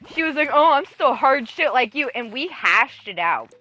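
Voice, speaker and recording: Against noticeable background noise, a woman speaks in an animated tone at a moderate pace. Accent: American. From Sacramento area, California, US. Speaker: gaming streamer. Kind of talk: casual livestream chat. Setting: livestream.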